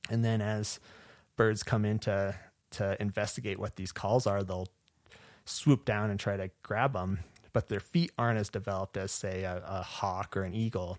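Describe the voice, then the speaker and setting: In a normal speaking voice with an American accent, a man talks at a moderate pace with fairly low pitch and fairly even intonation, in a dry, close sound with no echo on a very clean recording with a silent background. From southwest Michigan. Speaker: wildlife ecology graduate student. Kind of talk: interview.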